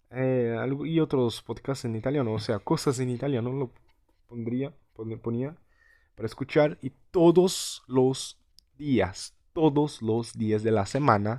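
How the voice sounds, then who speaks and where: Dark and mellow in tone, a man speaks very slowly at a medium pitch with ordinary variation. The recording is very clean, with a silent background. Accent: Portuguese. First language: Portuguese (speaking Spanish). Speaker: language learner vlogger. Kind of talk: casual vlog monologue. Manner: halting, many repetitions and fillers.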